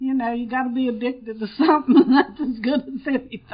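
Fairly even intonation from a woman with a high-pitched voice. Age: old. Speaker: AA speaker, longtime sober member. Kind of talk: recovery meeting talk. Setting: conference meeting room with audience.

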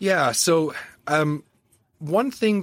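In a Canadian accent, a normal speaking voice moves at a fairly slow pace with lively intonation, captured in a dry, close sound with no echo on a very clean recording with a silent background. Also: man. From eastern Canada. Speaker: podcast host and parts industry consultant. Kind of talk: interview.

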